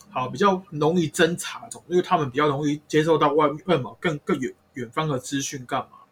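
Talking at a fairly quick pace, a man with an unremarkable speaking voice uses a fairly high pitch and ordinary pitch variation, with big swings in loudness. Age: 30s. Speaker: spirit medium. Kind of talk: casual chat.

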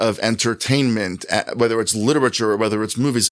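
Using a normal speaking voice, a man of medium pitch talks at a fairly quick pace with ordinary pitch variation. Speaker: author and college fellow. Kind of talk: interview conversation. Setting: office.

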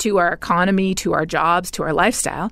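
A woman with a Canadian accent and a normal speaking voice, medium pitch, moderate pace. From Canada. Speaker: climate scientist and professor. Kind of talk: interview.

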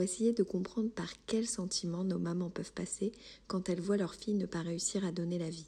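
On a very clean recording with a silent background, a woman of medium pitch with a dark, mellow, somewhat breathy tone speaks at a moderate pace with fairly even intonation. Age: 30s. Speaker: podcast host. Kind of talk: scripted narration.

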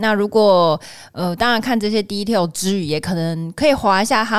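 In a very clean recording with a silent background, a woman uses a normal speaking voice at medium pitch and a fairly quick pace. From Taiwan. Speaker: podcast host. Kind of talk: casual chat.

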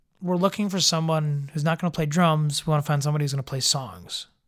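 A man with an American accent talks fairly quickly in a somewhat breathy, fairly high voice with ordinary pitch variation. The recording is very clean, with a silent background. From Chicago area. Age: 20s. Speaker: musician.

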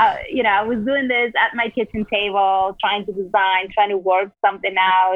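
In a Spanish accent, a woman talks at a medium pitch with fairly even intonation. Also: moderate pace. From Peru. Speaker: entrepreneur. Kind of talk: interview.

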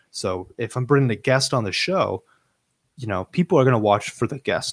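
At a fairly quick pace, a man speaks in a normal speaking voice at medium pitch, in a very clean recording with a silent background and a dry, close sound with no echo. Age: 20s. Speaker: podcast guest. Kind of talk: casual chat, podcast interview.

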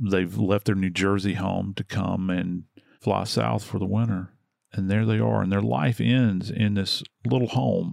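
Speaking at a fairly slow pace, this man has a warm tone and a very deep, low pitch. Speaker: true crime podcast host. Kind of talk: casual true crime discussion. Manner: conversational, warm.

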